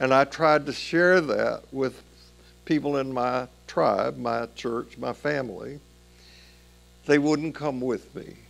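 A man's voice sits fairly high in pitch, and music plays behind it. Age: 80s+. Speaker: pastor. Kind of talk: sermon. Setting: church. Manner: halting.

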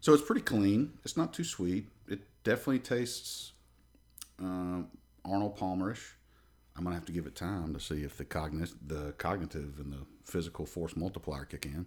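A man with an American accent speaks at a moderate pace in a very deep, low voice, his intonation lively and his loudness swinging widely, on a very clean recording with a silent background. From Alabama, near Birmingham. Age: 30s. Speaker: jiu-jitsu practitioner, former wrestler. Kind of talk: casual chat.

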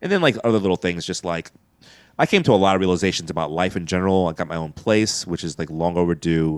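With an American accent, the speaker goes at a very fast pace with fairly even intonation. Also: man, very deep, low pitch for a man, very clean recording, silent background. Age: 40s. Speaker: comedian. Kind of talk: casual chat.

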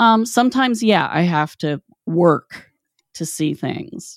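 A woman with an Appalachian accent and lively intonation, on a very clean recording with a silent background. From West Virginia. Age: 50s. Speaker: podcast host. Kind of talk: casual chat.

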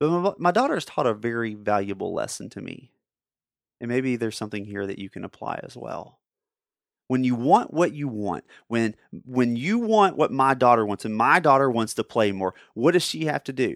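A man speaks in a plain, everyday voice at a moderate pace and medium pitch, his intonation lively. His loudness swings widely on a very clean recording with a silent background. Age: 30s. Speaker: podcast host. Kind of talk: motivational monologue.

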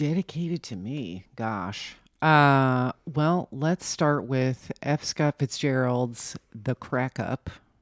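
On a very clean recording with a silent background, a woman with an American accent and a very deep, low pitch speaks at a very slow pace with lively intonation. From New Jersey. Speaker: writer and bookstore owner. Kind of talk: casual chat.

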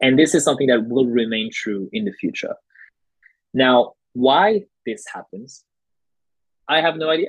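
With a French accent, a man speaks in a fairly high pitch with lively intonation at a moderate pace, leaving long, frequent pauses. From France. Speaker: coffee educator. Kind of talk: casual interview chat.

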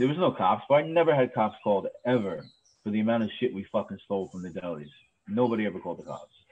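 The speaker has a New York accent. The pace is very fast. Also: man, medium pitch for a man. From New York City, Queens. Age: 30s. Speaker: cemetery superintendent. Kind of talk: casual chat.

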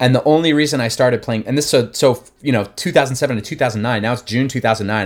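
The recording is very clean, with a silent background. A man with an American accent and a plain, everyday voice talks at a fairly quick pace with ordinary pitch variation. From New Jersey, near Philadelphia. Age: 30s. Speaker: musician. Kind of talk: casual chat.

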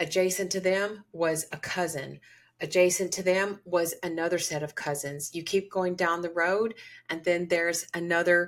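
In a very clean recording with a silent background, a woman with an American accent speaks at a fairly slow pace in an ordinary speaking voice, her pitch fairly low. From US South, Georgia. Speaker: podcast host and holistic psychiatry provider. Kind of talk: storytelling monologue.

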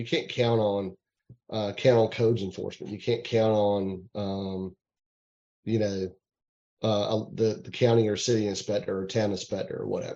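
A man with a Southern US accent talks at a fairly low pitch in a dark, mellow tone. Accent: US South. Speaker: home inspector and realtor. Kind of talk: interview. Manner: halting with fillers.

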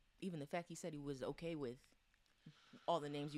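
A woman speaks very fast and soft-spoken in a very deep, low voice, her intonation fairly even. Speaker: podcast co-host. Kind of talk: casual chat.

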